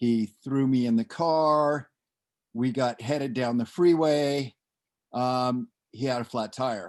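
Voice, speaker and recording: A man's medium-pitched voice with an American accent at a very slow pace, ordinary pitch variation, a quiet background and a dry, close sound with no echo. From Southern California. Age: 60s. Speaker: person in recovery. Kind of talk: personal storytelling interview. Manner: halting, with fillers.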